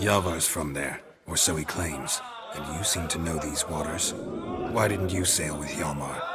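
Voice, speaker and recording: A cartoonish character voice from a man, very deep and low-pitched, at a moderate pace over loud background noise. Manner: terse, flat, laconic.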